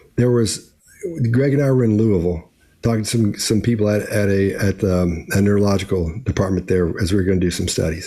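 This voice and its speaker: A man's fairly low, dark and mellow voice, somewhat breathy, at a very fast pace with ordinary pitch variation. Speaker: body language commentator. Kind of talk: video commentary. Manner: casual with many restarts.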